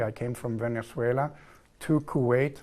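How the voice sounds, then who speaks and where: A southern German accent with fairly even intonation over a quiet background. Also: man. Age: 40s. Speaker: engineer, contract manager in oil and gas. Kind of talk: TV interview. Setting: TV studio.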